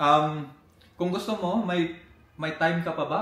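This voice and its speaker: Moderately paced speech from a man, with audible echo in the room and clear background noise. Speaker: rap battle reaction youtuber. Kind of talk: casual chat. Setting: indoor venue. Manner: loud.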